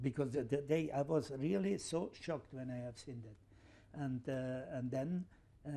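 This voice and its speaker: With a dark, mellow tone, a man talks at a medium pitch with ordinary pitch variation. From Switzerland. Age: 70s. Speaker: football administrator. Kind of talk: interview answer. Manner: hesitant, many fillers.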